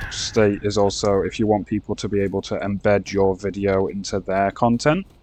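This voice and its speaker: A man's fairly low voice at a moderate pace, with noticeable background noise. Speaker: gaming youtuber. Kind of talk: casual gameplay commentary. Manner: halting, stumbling over words.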